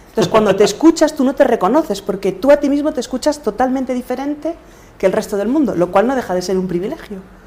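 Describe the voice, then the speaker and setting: With lively intonation and a high pitch, a woman talks at a very fast pace over noticeable background noise. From Galicia, Spain. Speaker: podcaster and coach. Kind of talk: interview.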